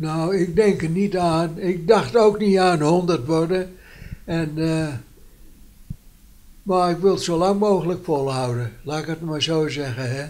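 Here a man talks at a high pitch with ordinary pitch variation. He goes at a fairly slow pace with long, frequent pauses. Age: 80s+. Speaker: centenarian interviewee; interviewee. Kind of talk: casual interview. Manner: halting. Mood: cheerful, reminiscing. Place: home room. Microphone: handheld.

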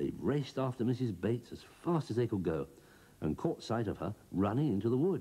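The speaker reads in a natural reading voice, with lively intonation throughout.

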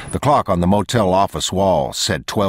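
Reading aloud, plain and simple

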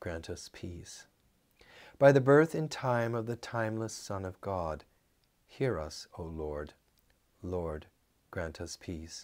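Against a quiet background, a man with a fairly low pitch speaks at a very slow pace with lively intonation. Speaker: priest leading evening prayer. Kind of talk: liturgical prayer service, spoken litany and intercession. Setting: church. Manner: fervent, earnest, solemn; measured, sincere, pastoral. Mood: calm, solemn. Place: office.

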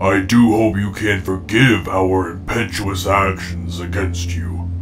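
A man's very deep, low put-on character voice over loud background noise. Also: fairly slow pace. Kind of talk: formal, archaic.

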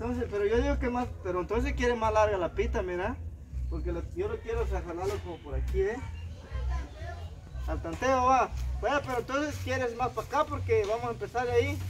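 A man at a fairly quick pace, with light background noise. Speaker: rural vlogger. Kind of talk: casual vlog chat. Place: garden. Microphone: camera far.

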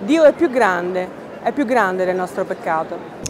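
This woman's intonation is lively, and her pace is moderate. Noticeable background noise runs underneath. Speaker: news reporter narrating the story. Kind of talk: news report voice-over.

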